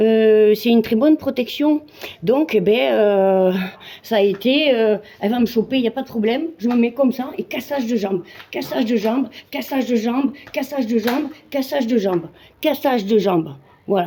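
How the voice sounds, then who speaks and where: The pace is moderate. A woman speaks with a fairly high pitch. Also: lively intonation. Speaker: amateur Muay Thai fighter. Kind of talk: casual vlog monologue.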